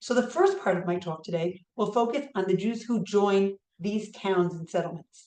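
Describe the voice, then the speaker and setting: The speaker has a New York accent and a dark, mellow tone. The pace is moderate, with ordinary pitch variation. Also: woman, medium pitch for a woman. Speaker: history professor. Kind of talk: lecture.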